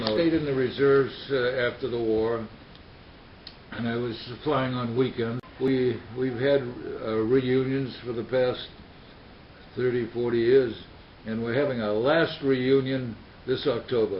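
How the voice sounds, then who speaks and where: Monotone, flat speech with an American accent at a fairly slow pace, with long, frequent pauses, audible room echo and noticeable background noise. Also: man, medium pitch for a man. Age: 90s. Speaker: war veteran. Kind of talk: interview. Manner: halting.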